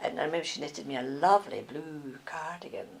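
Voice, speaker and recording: Over noticeable background noise, someone talks at a very fast pace in a Scottish accent. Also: woman. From Scotland. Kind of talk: life story interview answer.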